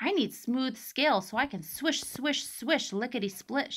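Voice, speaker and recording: This woman uses a put-on character voice at a high pitch. She keeps a moderate pace. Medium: read story.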